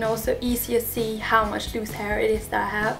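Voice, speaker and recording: Fairly slow, fairly high-pitched woman's voice with monotone, flat intonation and music in the background. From Denmark. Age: 20s. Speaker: hair vlogger. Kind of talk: casual talk to camera.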